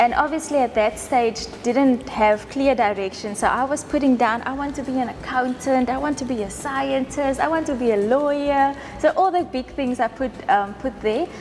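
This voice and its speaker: Speaking with a South African accent and hardly any pauses, the voice comes over noticeable background noise. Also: woman, high pitch for a woman, ordinary pitch variation, moderate pace. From South Africa, Western Cape rural town. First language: Afrikaans. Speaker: winemaker. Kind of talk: casual interview over wine tasting.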